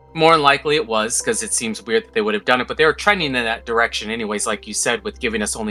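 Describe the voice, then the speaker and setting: Music runs in the background. Over it, a man talks with lively intonation. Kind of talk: casual game review talk to camera.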